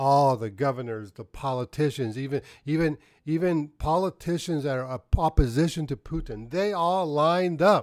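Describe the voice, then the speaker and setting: In a very clean recording with a silent background and a dry, close sound with no echo, a man with a fairly high pitch speaks in an animated tone with ordinary pitch variation. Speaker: political commentator. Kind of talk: political commentary. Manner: fast.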